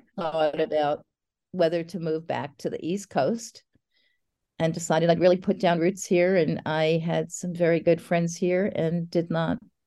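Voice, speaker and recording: A woman speaks with an American accent at a fairly low pitch and a fairly slow pace. Her tone is dark and mellow, with fairly even intonation. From New Jersey, near New York City. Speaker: poet. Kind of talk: interview.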